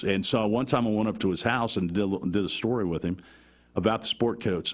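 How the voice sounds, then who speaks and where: Lively in intonation, a man with an ordinary speaking voice and a fairly low pitch talks at a moderate pace. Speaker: sports play-by-play broadcaster. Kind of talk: interview answer. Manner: casual, conversational.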